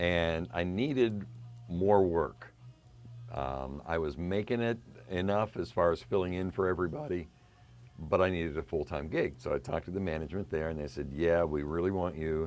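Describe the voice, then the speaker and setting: This man has a very deep, low voice with an American accent. His pitch varies in an ordinary way, and he talks at a moderate pace. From western Pennsylvania. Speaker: radio DJ. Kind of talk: interview.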